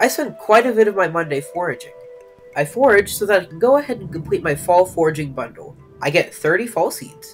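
Music plays in the background as the speech moves at a fairly quick pace. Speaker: gaming video narrator. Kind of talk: gameplay voiceover narration.

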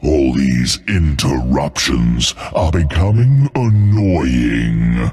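A man's put-on character voice, extremely low in pitch with big pitch swings and a slightly mellow tone, at a very slow pace over faint background music

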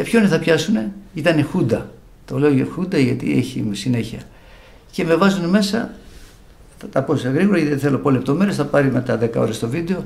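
Pitched fairly high for a man, he speaks at a moderate pace with lively intonation, vocal fry, and long, frequent pauses. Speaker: bouzouki musician; interviewee. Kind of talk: religious testimony. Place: home room. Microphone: studio mic.

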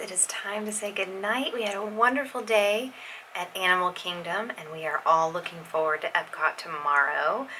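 This woman talks at a moderate pace with ordinary pitch variation. Light background noise sits behind her. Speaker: family travel vlogger. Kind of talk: casual vlog chat. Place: home room. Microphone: phone near.

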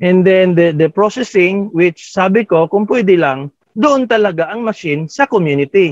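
A man talks with lively intonation at a high pitch. The sound is dry with no echo, over a quiet background. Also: moderate pace. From Philippines. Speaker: farming club founder; guest. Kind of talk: casual talk in Taglish. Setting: video call. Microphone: video call.

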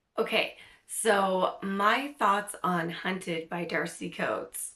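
A woman speaks slowly at medium pitch with ordinary pitch variation. Her tone is bright and sharp.

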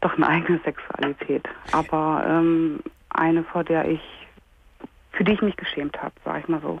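Over light background noise, a woman with a fairly low pitch talks at a moderate pace with fairly even intonation, the sound dry with no echo. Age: 30s. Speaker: caller. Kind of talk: phone-in call, personal testimony. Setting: phone call. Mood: hesitant, painful personal disclosure. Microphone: phone line.

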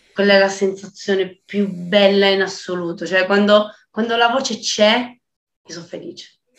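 A woman at medium pitch talks at a moderate pace with fairly even intonation, big swings in loudness and audible room echo. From Calabria, southern Italy. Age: 20s. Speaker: singer-songwriter, voice student. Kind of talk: casual interview chat. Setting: video call. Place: home room. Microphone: video call.

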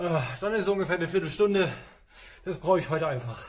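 A man speaks at a moderate pace. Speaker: fitness trainer. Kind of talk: casual workout instruction. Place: gym. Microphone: camera far.

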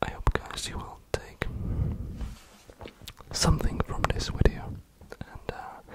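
A man whispering in a gentle tone at a very slow pace. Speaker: ASMR creator. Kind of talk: soft ASMR affirmation whisper. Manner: gentle intimate whisper. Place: home room. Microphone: studio mic.

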